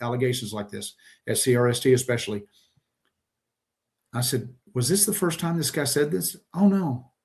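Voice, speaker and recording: Over a quiet background, a man with an American accent speaks fairly quickly at a medium pitch, somewhat breathy, with lively intonation. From Texas. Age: 60s. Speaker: trucking safety expert. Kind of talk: podcast interview.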